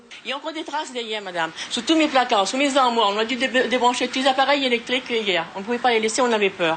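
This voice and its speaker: Over noticeable background noise, a woman talks very fast in a high pitch, with lively intonation and hardly any pauses. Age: 60s. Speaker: flood-affected resident. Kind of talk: news interview. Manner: halting.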